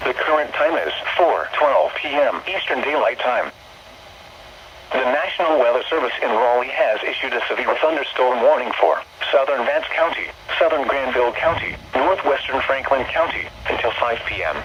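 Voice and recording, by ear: A man speaks at a moderate pace and medium pitch, with lively intonation. Audible room echo surrounds his voice.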